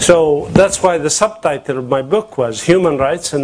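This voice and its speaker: Noticeable background noise sits behind the voice. The delivery has a moderate pace and ordinary pitch variation. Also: man. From Palestine. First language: Arabic. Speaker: activist and author. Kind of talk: conference panel talk. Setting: conference with audience and translator. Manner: passionate.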